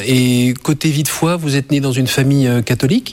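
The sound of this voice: At a fairly quick pace, a man talks with fairly even intonation. His pitch is medium.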